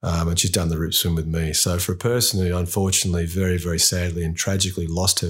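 Fairly quick and somewhat breathy, a man's very deep, low voice moves with fairly even intonation on a very clean recording with a silent background. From South Africa (Durban). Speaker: open water event organizer and swim coach. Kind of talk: casual interview chat. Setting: small home studio.

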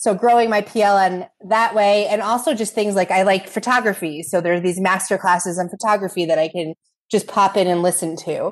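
Using a normal speaking voice, a woman talks at a fairly quick pace and medium pitch with fairly even intonation. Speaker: instructional coach and podcast co-host. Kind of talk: podcast interview.

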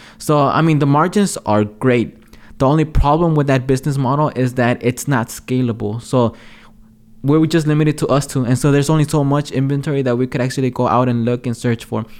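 Fairly quick and at a very even loudness, a man speaks in a normal speaking voice, his pitch fairly high and his intonation fairly even. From Los Angeles, South Central (moved from Mexico age 6). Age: 20s. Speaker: entrepreneur, podcast co-host. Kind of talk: casual chat.

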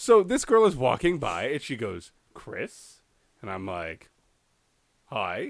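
With vocal fry and a fairly high pitch, a man speaks at a very slow pace, leaving long, frequent pauses, his pitch swinging very widely and his loudness shifting in big swings. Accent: American. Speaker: podcast co-host. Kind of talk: casual chat.

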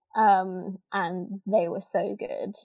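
Speaking with an East Midlands accent, a woman at medium pitch keeps her intonation fairly even. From Northampton, England. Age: 20s. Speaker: former theme park worker. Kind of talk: interview.

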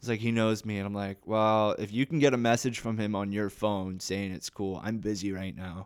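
A man with a Canadian accent has a normal speaking voice, fairly low in pitch. He keeps a moderate pace with hardly any pauses and fairly even intonation. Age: 20s. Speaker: actor. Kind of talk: casual chat.

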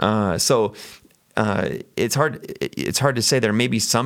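There's an unremarkable speaking voice here, a man pitched fairly low whose pitch varies in an ordinary way. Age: 40s. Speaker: pastor. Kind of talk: casual chat.

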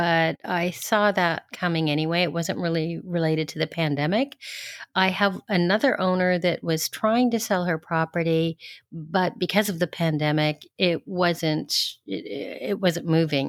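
On a very clean recording with a silent background and a dry, close sound with no echo, a woman with an unremarkable speaking voice talks at a moderate pace, her fairly low pitch showing ordinary variation, with a Canadian accent. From Canada, Ontario (Toronto). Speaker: rental agency founder. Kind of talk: interview.

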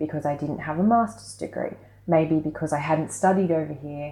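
A woman's very deep, low voice with an Australian accent. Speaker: freelance string player. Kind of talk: interview.

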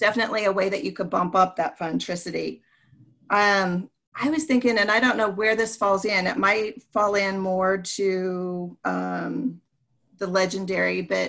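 A woman speaks at a moderate pace in a medium pitch with ordinary pitch variation and an unremarkable speaking voice. The recording is very clean, with a silent background. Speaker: teacher, podcast co-host.

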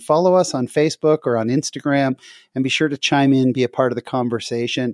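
Recorded very cleanly against a silent background, with a dry, close sound and no echo, a man talks at a fairly quick pace in a normal speaking voice. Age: 40s. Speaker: podcast host. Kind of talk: casual chat.

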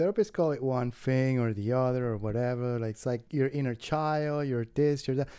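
A man with a Spanish accent talks at a moderate pace in a medium pitch, with ordinary pitch variation and hardly any pauses. Noticeable background noise is present. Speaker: comedian. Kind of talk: casual chat. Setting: green room of a comedy club.

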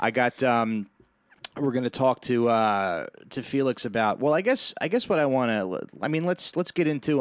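At a moderate pace, a normal speaking voice talks with an American accent. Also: man. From New Jersey. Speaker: podcast host, new father. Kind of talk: casual chat.

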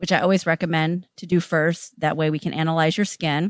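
A woman's unremarkable speaking voice, fairly low in pitch with fairly even intonation, at a fairly quick pace, in a very clean recording with a silent background and a dry, close sound with no echo. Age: 50s. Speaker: esthetician. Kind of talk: interview.

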